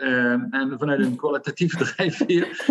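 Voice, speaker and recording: Through noticeable background noise, a man speaks at a fairly high pitch and a fairly slow pace. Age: 50s. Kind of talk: interview. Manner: hesitant, many fillers.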